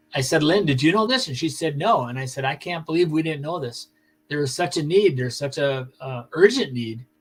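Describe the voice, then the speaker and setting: A somewhat breathy man talks at a moderate pace in a fairly high pitch. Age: 60s. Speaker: kidney donor and long-distance cyclist. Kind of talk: interview. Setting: live broadcast.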